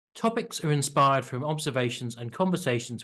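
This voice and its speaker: He has an unremarkable speaking voice, pitched at a medium level for a man. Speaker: EAL teacher. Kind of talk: tutorial. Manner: clearly enunciated.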